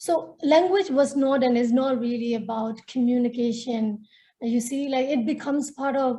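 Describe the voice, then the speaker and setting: A woman with a Nepali accent and a dark, mellow tone speaks at a high pitch and a moderate pace with ordinary pitch variation. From Myanmar, northern Shan State. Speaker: feminist activist and storyteller. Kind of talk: webinar panel talk.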